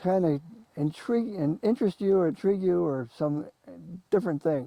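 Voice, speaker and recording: A man with an American accent speaks with very wide pitch swings and a dark, mellow tone. The sound is dry and close, with no echo. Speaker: local historian and author. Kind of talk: talk to an audience.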